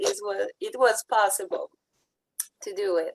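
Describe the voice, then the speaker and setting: A woman speaks with a French accent in a fairly high voice. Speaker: direct sales consultant, former retail buyer. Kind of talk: testimony. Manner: halting; partly reading.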